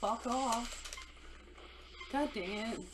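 Noticeable background noise runs under this woman's voice. She speaks very slowly at a fairly high pitch. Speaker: video game player. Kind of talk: casual gameplay commentary. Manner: excitable, profane.

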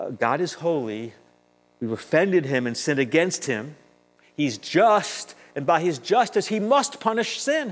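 Speaking at a fairly slow pace, a man uses a high pitch with very wide pitch swings. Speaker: preacher. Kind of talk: sermon. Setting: synagogue with congregation. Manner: earnest, persuasive preaching with emphatic repetition. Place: church. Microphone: lapel.

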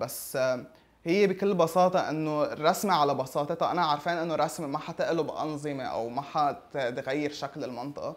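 With ordinary pitch variation, the man speaks at a moderate tempo. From Lebanon. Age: 20s. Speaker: caricaturist. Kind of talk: interview; interview answer. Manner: halting, with many fillers. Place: home room. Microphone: lapel.

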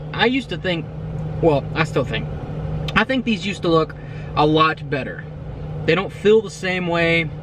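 There is noticeable background noise as a man talks at a moderate pace with ordinary pitch variation, the sound dry with no echo. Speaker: vlogger. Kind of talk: casual vlog chat. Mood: nostalgic, mildly disappointed. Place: car. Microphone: phone near.

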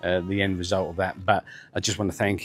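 This man talks very fast at a fairly low pitch, his intonation monotone and flat. The sound is dry with no echo, and faint music plays in the background. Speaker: house renovation vlogger. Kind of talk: casual vlog chat. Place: garden. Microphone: lapel.

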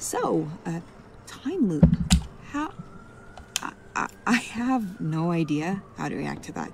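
Putting on a character voice, a woman speaks slowly at a fairly low pitch with vocal fry, a slightly mellow tone and big pitch swings, over faint background noise.

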